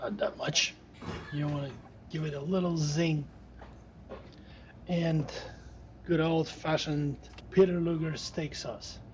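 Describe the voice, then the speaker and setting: Long, frequent pauses mark this man's fairly slow speech. His intonation is monotone and flat at a fairly high pitch. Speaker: home cook. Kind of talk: cooking tutorial.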